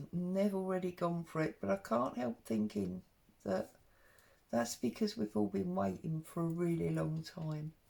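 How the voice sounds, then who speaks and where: Speaking with an English accent, a woman has a very deep, low pitch and a dark, mellow tone. Her pitch swings very widely, and her pace is fairly slow. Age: 50s. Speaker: craft vlogger. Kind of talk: craft tutorial. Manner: casual, chatty.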